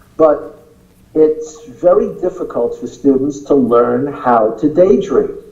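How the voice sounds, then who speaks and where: Against noticeable background noise, a man with an American accent speaks very slowly in a fairly high pitch with lively intonation. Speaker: acting teacher. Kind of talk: interview.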